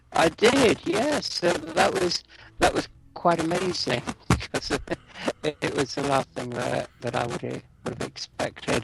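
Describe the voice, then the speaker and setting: Noticeable background noise runs beneath a man who takes his words at a fairly slow pace. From London, England. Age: 60s. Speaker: radio DJ. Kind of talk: interview.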